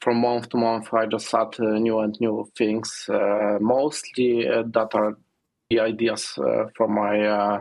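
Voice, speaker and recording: A man with a non-native accent speaks at a very slow pace. His intonation is monotone and flat, his loudness very even. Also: medium pitch for a man. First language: not English. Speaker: software developer. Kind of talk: interview. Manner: halting, many fillers.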